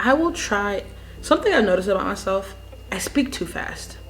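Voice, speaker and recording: Fairly quick speech from a woman over background music. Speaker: vlogger. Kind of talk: casual vlog chat.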